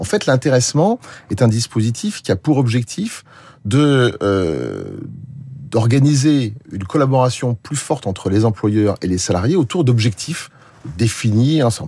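A man's dark, mellow, somewhat breathy voice sits at a medium pitch with lively intonation. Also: fairly slow pace. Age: 60s. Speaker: social protection policy expert. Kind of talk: radio interview.

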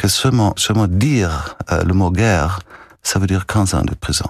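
This man speaks at a fairly slow pace with ordinary pitch variation. His voice is somewhat breathy. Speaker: music festival director. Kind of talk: radio interview. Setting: radio studio. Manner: halting, repeats words.

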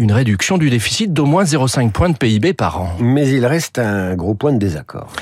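Man at a medium pitch with very wide pitch swings, moderate pace, noticeable background noise. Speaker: radio economics commentator. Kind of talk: news reading, radio editorial. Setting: radio studio. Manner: formal, steady, informative.

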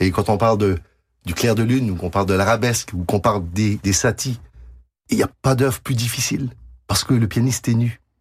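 A man with a Quebec accent speaks in a somewhat breathy voice of fairly low pitch, with ordinary pitch variation and long, frequent pauses. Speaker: pianist and composer. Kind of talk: radio interview.

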